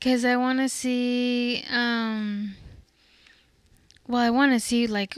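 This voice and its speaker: The voice is soft-spoken and monotone, with flat intonation. It goes very slowly, with long, frequent pauses. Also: woman, high pitch for a woman. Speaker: podcast co-host. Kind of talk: casual chat.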